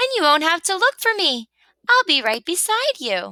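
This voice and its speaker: In a put-on character voice, a woman squeaks at an extremely high pitch with very wide swings, sounding upbeat at a moderate pace. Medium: read story. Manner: chirpy, upbeat.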